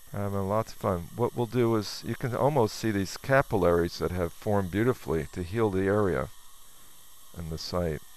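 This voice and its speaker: With lively intonation and a plain, everyday voice, a man talks at a moderate pace. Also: fairly low pitch for a man. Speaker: dentist. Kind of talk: narrated clinical procedure tutorial. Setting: dental operatory with patient.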